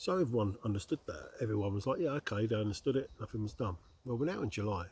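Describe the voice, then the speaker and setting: Somewhat breathy, a man with a southern English accent talks at a very fast pace. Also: medium pitch for a man, lively intonation. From southeast England, Slough. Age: 50s. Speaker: outdoor vlogger and delivery driver. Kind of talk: casual vlog monologue. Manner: conversational, hesitant with fillers.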